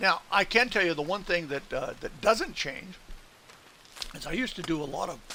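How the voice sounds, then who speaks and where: With noticeable background noise behind him, a man speaks at a moderate pace in a relaxed tone with lively intonation. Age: 70s. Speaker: gaming live streamer. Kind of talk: casual chat. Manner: relaxed, rambling with fillers.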